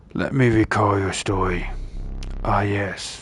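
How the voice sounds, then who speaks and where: Clear background noise runs under a man doing a raspy put-on character voice. It is fairly low in pitch, fairly slow, with monotone, flat intonation. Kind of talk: ominous storyteller narration. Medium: game stream. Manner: slow, deliberate, theatrical.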